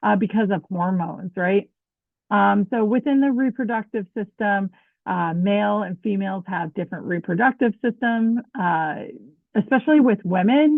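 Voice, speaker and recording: Moderate pace and ordinary pitch variation in a plain, everyday voice. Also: woman, medium pitch for a woman. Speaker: dental hygiene instructor. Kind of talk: lecture.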